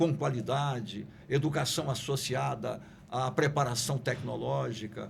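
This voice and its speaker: A fairly high-pitched man with vocal fry, speaking fairly slowly with ordinary pitch variation amid audible room echo. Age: 70s. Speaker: politician and sociologist. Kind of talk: podcast discussion. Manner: formal.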